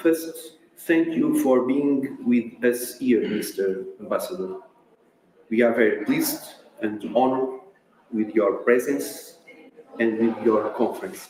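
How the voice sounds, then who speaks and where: A man talks at a fairly slow rate, pausing long and often, with noticeable noise in the background. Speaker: university dean. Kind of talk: formal welcome speech. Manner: formal.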